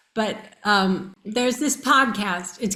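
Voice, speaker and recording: A woman with an American accent, very slow pace and ordinary pitch variation. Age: 60s. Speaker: near-death experiencer. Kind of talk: interview.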